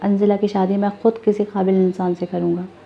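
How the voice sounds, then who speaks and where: With monotone, flat intonation, a woman holds a medium pitch as she speaks. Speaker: voice over narrator reading a novel. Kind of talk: audio novel narration.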